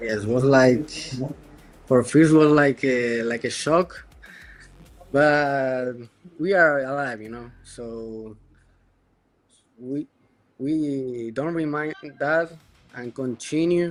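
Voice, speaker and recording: A man speaks with a non-native accent at a very slow pace, leaving long, frequent pauses. His pitch is medium with ordinary variation, and his loudness swings widely. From Argentina. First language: Spanish. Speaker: esports player. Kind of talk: post-match interview. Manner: halting.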